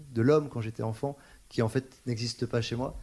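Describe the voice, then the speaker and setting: The recording is very clean with a silent background, and a man's delivery moves fairly quickly. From Paris. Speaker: singer-songwriter. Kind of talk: interview. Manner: hesitant, many fillers.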